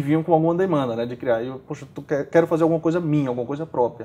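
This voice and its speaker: Dark and mellow in tone, the man's speech shows ordinary variation in pitch. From Brazil, Maceió, Alagoas; Alagoas, Brazil. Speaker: startup community organizer; interview guest. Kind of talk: interview; interview answer. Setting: bookstore. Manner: halting, many repeated fillers. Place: home room.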